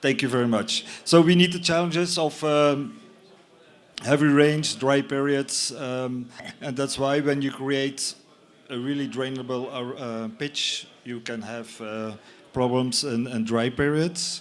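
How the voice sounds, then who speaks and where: A man with a fairly high voice speaks at a fairly slow pace with ordinary pitch variation, and the room echo is audible. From Belgium. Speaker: company representative presenting a product. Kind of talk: conference talk. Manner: halting, many fillers.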